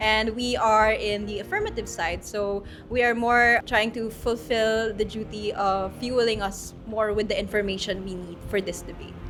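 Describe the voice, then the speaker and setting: A woman's monotone, flat delivery at a moderate pace with hardly any pauses, with audible room echo and music in the background. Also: fairly high pitch for a woman. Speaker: university student debater. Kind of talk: interview.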